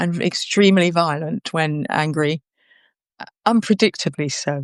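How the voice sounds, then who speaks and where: A woman speaks in a normal speaking voice with a fairly low pitch and ordinary pitch variation, over a quiet background, in a dry, close sound with no echo. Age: 60s. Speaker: interviewee. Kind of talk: personal testimony in an interview. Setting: live video conversation.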